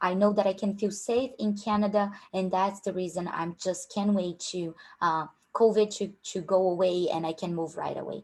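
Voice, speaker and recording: At a moderate pace and medium pitch, a woman speaks with fairly even intonation in a strong Brazilian accent. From Brazil, Rio de Janeiro. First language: Portuguese. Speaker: career coach at a tech recruiting company. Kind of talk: online workshop.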